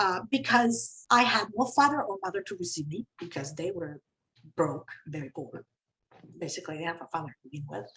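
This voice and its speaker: A woman with a Spanish accent speaks at a fairly quick pace, somewhat breathy, with very wide pitch swings and big swings in loudness. Long, frequent pauses break up her speech. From Venezuela. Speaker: company CEO. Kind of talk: panel discussion.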